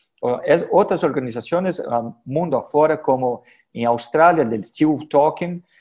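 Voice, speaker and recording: The man's voice is fairly high, with a dark, mellow tone and ordinary pitch variation. He speaks at a moderate pace against a quiet background. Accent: Portuguese. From Brazil. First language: Portuguese (speaking Spanish). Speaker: head and neck surgeon, professor. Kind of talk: conference lecture. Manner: halting with many fillers.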